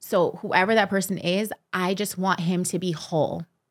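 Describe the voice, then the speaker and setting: A woman with a Californian accent speaks at a medium pitch. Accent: Californian American English. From Los Angeles. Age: 30s. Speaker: professional dancer and choreographer. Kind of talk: casual interview.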